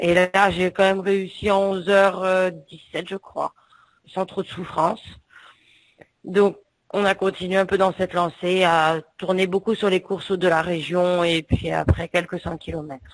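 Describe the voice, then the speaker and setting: A woman's medium-pitched voice, fairly slow and flat, in a monotone. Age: 40s. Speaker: ultramarathon runner. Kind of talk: interview.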